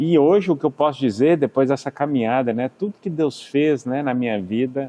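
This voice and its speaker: Speaking fairly slowly in a mineiro accent, a man holds a medium pitch with ordinary pitch variation. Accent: mineiro accent, kept despite living in US. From Minas Gerais, Brazil (Belo Horizonte). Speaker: businessman and healing minister. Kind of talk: interview testimony. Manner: halting, repetitive.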